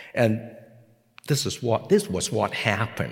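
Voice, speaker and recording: Here a man talks with a Hong Kong accent. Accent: Hong Kong Cantonese-accented English. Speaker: pastor. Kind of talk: sermon. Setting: seminary chapel with audience.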